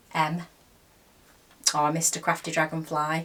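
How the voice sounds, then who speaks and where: In an English accent, a woman talks with a fairly low pitch. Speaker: crochet vlogger. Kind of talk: casual chat. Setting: home craft room. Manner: soft-spoken.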